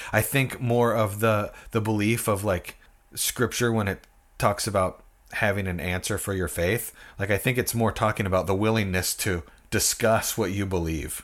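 A man with an American accent speaks in a normal speaking voice at a moderate pace, fairly low pitch, and fairly even intonation, on a very clean recording with a silent background. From US Pacific Northwest. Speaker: musician and former pastor. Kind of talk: casual interview chat.

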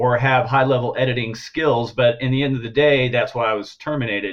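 The man has an ordinary speaking voice at medium pitch, with fairly even intonation. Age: 50s. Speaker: graphic artist and art director. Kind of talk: interview.

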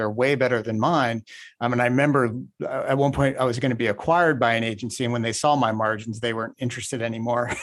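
A man with a normal speaking voice talks at a fairly quick pace and medium pitch against a quiet background. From Indiana. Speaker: podcast host. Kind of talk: interview.

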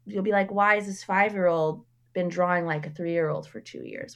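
A woman's plain, everyday voice, fairly low in pitch with ordinary pitch variation, against a quiet background. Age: 30s. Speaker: artist and educator. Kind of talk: casual chat.

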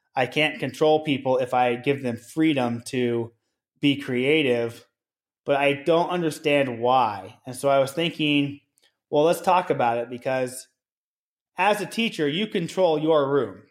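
A man with an American accent has a plain, everyday voice, fairly high in pitch with ordinary pitch variation. He talks fairly slowly on a very clean recording with a silent background. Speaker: school principal and podcast co-host. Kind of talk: casual conversational podcast chat.

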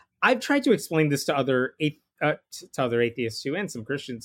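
A man talks in a plain, everyday voice, pitched fairly high. The recording is very clean, with a silent background and a dry, close sound with no echo. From Indian-American family, raised in Jain religion. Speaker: atheist author and blogger. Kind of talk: casual interview conversation.

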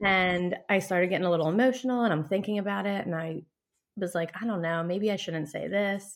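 On a very clean recording with a silent background, a woman with a plain, everyday voice speaks at medium pitch and a moderate pace, with ordinary pitch variation. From Philadelphia, Pennsylvania. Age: 30s. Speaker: hairstylist and bereaved mother. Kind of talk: personal testimony in casual interview.

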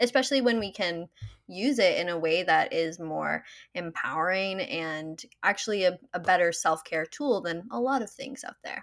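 A woman speaks at a moderate pace and medium pitch, her intonation lively and her loudness swinging widely. The recording is very clean, with a silent background. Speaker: menstrual health coach. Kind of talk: interview. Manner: calm, poised.

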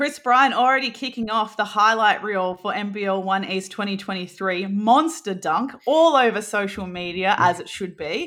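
With an Australian accent, a woman speaks at medium pitch and a moderate pace with lively intonation and hardly any pauses, on a very clean recording with a silent background. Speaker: basketball podcast co-host. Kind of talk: casual chat.

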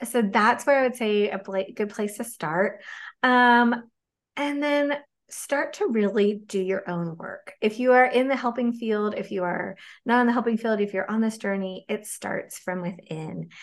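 At a fairly slow pace, a woman speaks in an unremarkable speaking voice with a fairly high pitch and ordinary pitch variation. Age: 40s. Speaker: dietitian, clinical executive. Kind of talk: casual interview chat.

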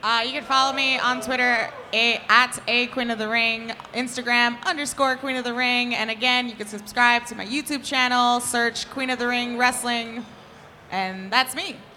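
A woman speaks with an American accent at a high pitch and a moderate pace. Noticeable background noise sits behind her. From New York. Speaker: wrestling fan. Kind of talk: live podcast casual chat. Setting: stage with audience. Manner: excitable; loud.

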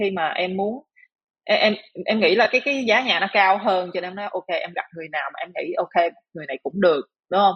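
Lively intonation marks this woman's speech, which moves at a moderate pace. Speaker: hotel manager and coach. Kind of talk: casual interview. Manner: halting.

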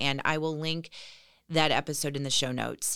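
A woman's very deep, low voice with a bright, sharp tone on a very clean recording against a silent background. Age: 40s. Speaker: podcast host, former radio personality. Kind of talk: solo podcast monologue.

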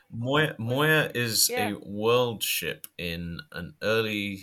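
In a British accent, a man talks at medium pitch with a bright, sharp tone. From Britain. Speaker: podcast co-host.

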